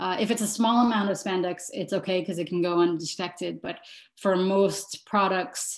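Over a quiet background, a woman speaks at a moderate pace. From Montreal, Canada; Quebec, Canada. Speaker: fashion designer and sustainability professor; sustainability professor. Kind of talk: online workshop presentation. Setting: video call. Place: home room. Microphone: video call.

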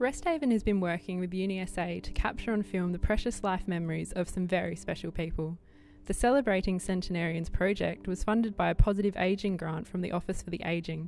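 A woman with a normal speaking voice at a fairly quick pace, with ordinary pitch variation. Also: medium pitch for a woman. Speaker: documentary narrator. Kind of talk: corporate documentary narration.

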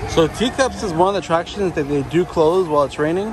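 A man's very fast speech with ordinary pitch variation, in a dry sound with no echo and noticeable background noise. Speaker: vlogger. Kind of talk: casual vlog commentary. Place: street. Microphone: phone near.

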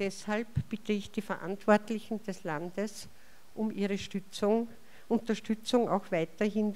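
A woman's dark, mellow tone at medium pitch and a fairly slow pace. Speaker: chair of hospice association. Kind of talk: welcome speech. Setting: stage with audience. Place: hall.

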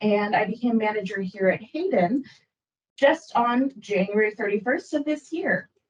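Somewhat breathy and fairly high-pitched, a woman with an American accent speaks at a moderate pace with very wide pitch swings. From Minnesota, Rochester. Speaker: librarian. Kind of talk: presentation. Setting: public board meeting.

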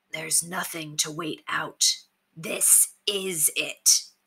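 A raspy, female-sounding put-on character voice at middle pitch moves at a very slow pace. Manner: steely, direct, rousing.

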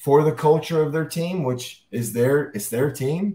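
At a fairly slow pace, a man with an American accent speaks at a fairly high pitch in a somewhat breathy voice. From US South. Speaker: high school football coach. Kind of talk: interview. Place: office.

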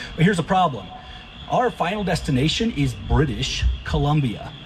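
A man's fairly quick speech over light background noise. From US Texas. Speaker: stand-up comedian. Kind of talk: stand-up comedy. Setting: stage with audience. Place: garden. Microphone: handheld.

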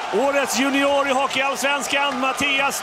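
The voice is raised and projected, with monotone, flat intonation. Noticeable background noise sits behind it. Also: man. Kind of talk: live commentary. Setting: broadcast.

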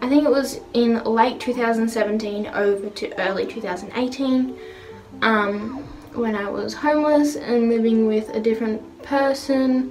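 Faint music plays in the background as the voice moves at a very slow pace with fairly even intonation. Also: woman. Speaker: beauty vlogger. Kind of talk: casual vlog chat. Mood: open, relaxed, candid. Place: bathroom. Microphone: phone near.

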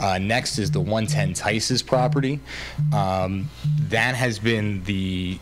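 A man speaks with music playing in the background. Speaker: council presenter. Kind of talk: public meeting briefing. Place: hall. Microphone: podium.

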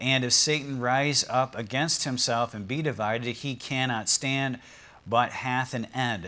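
A man talks at a fairly slow pace. His intonation is fairly even. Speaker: pastor. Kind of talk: sermon. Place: church. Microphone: lapel.

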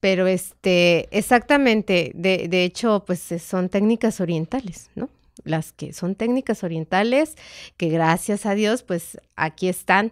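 A woman with a Mexican accent speaks at a medium pitch and a very slow pace. Her pitch variation is ordinary, and the background is quiet. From Mexico. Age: 50s. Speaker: meditation therapist, former homemaker; podcast guest. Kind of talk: casual interview chat. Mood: calm, reflective. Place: studio. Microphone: studio mic.

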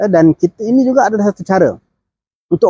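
Lively intonation and a dark, mellow tone at a fairly quick pace, with a dry sound, no echo and a quiet background. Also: man. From Malaysia. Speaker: political commentator. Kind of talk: political commentary monologue. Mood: earnest, critical. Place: open country. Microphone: phone near.

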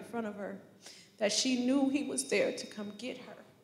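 Audible echo from the room surrounds a woman whose intonation stays fairly even. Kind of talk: eulogy tribute speech. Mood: emotional, remembering grandmother. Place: church. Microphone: handheld.

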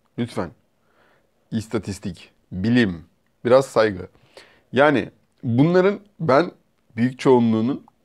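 A man's very slow speech against a quiet background. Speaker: vlogger. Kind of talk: casual vlog chat, storytelling. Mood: amused, relaxed. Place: home room. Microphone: lapel.

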